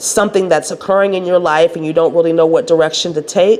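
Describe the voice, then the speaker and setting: There is noticeable background noise. A woman talks over it. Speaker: spiritual wellness coach. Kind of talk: spiritual talk to camera.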